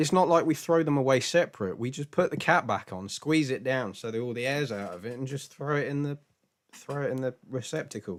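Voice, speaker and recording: A British accent at a fairly quick pace, with ordinary pitch variation. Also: man, medium pitch for a man. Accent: British, glottal t. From Britain, mixed regions. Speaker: live-stream Q&A host, spiritual teacher. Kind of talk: casual chat. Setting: live stream. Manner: halting, many repetitions.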